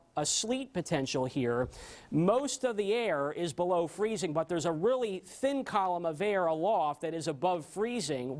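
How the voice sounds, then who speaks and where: Using lively intonation, a man with a high pitch talks at a moderate pace. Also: very clean recording, silent background. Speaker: TV meteorologist. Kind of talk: TV weather forecast. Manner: enthusiastic.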